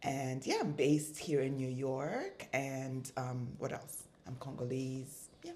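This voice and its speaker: Amid audible room echo, a woman speaks very slowly in a very deep, low, monotone and flat voice. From East Africa, mainly Kenya. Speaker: fashion designer and entrepreneur. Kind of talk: interview conversation.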